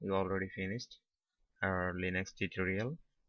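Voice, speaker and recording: A man with a non-native accent speaks fairly quickly at a fairly low pitch with fairly even intonation. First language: not English. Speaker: tech tutorial youtuber. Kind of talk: screen-recorded tutorial.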